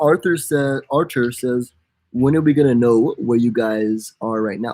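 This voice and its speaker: An unremarkable speaking voice with an American accent, ordinary pitch variation and a fairly slow pace. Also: man, medium pitch for a man. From USA. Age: 20s. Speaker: travel vlogger.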